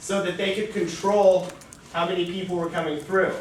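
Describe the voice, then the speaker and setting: A loud man speaks at a high pitch. Audible room echo and noticeable background noise come through too. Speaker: debate coach. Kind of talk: lecture. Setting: lecture room. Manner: casual.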